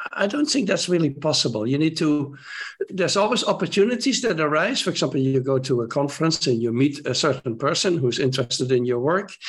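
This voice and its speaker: Amid noticeable background noise, a man with a Dutch accent speaks at a very fast pace and fairly high pitch, keeping his loudness very even. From Netherlands. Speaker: primatologist. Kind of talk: interview.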